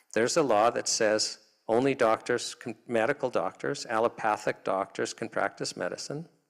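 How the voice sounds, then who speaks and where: This is a plain, everyday voice: a man with a Canadian accent and medium pitch, talking at a moderate pace with ordinary pitch variation. The recording is very clean, and the background is silent. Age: 60s. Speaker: health freedom advocate. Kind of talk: public talk.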